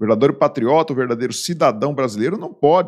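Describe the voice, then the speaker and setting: A man with a Brazilian accent, lively intonation and a fairly quick pace, over a quiet background. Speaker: video blogger, political commentator. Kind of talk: indignant rant, political commentary. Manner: indignant, angry, scornful, emphatic. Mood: indignant, critical. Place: home room. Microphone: studio mic.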